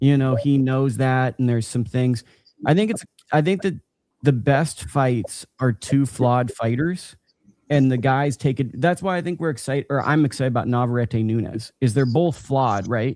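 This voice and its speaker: A man talks at medium pitch and a moderate pace. He has ordinary pitch variation and a plain, everyday voice. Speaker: boxing journalist. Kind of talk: casual chat.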